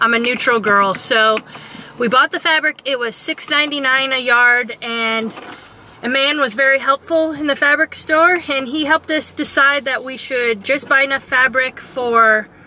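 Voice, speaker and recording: A woman uses a raised, projected voice at a fairly slow pace with ordinary pitch variation. The sound is dry with no echo, over light background noise. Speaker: travel vlogger. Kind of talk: casual vlog chat. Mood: cheerful, excited, laughing. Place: car. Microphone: phone near.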